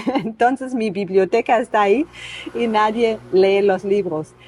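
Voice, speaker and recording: Amid noticeable background noise, a woman speaks at a fairly slow pace. Her pitch is medium, with ordinary variation. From East Germany. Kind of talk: podcast interview answer.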